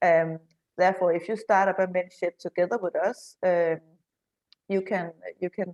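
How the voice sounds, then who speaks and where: A woman speaks in a Danish accent at a moderate pace, with a medium pitch and a dark, mellow tone. Her intonation is monotone and flat, and the sound is dry and close with no echo. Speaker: men's shed association representative. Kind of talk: online panel discussion. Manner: halting.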